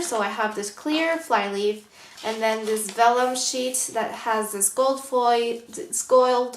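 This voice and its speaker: A woman with a fairly high pitch speaks at a fairly slow pace, with audible room echo and noticeable background noise. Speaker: planner vlogger. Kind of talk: tutorial. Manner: hesitant, many fillers.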